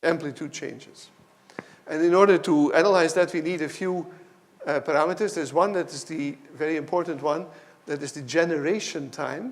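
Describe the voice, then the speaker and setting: A man with a fairly high pitch and ordinary pitch variation talks fairly quickly, his loudness swinging widely, over noticeable background noise. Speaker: professor. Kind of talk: lecture.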